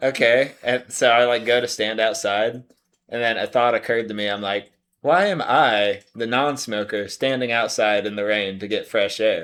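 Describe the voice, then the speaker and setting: A man's medium-pitched voice shows ordinary pitch variation and moves at a moderate pace. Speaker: podcast co-host. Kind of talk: casual chat.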